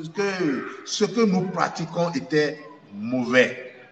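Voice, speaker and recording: A man's very slow delivery with very wide pitch swings, in audible room echo. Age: 60s. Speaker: traditional dignitary. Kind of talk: interview. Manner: halting, repetitive.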